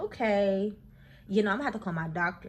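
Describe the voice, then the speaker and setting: A woman's animated, somewhat breathy voice at a very fast pace. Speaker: vlogger. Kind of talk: casual vlog talk.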